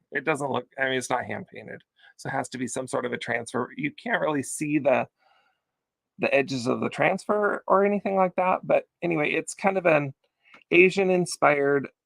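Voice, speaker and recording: At a fairly quick pace, a man speaks with lively intonation and a fairly high pitch. The sound is dry and close, with no echo. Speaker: online vintage seller hosting live sale. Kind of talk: live sales pitch. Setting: livestream video. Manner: fast; chatty, animated.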